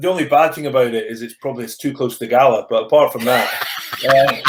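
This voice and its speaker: Speaking fairly quickly, a man has a Scottish accent. His voice sits fairly high in pitch. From Scottish Borders. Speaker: rugby coach, former rugby player. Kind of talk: interview answer. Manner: has a stammer.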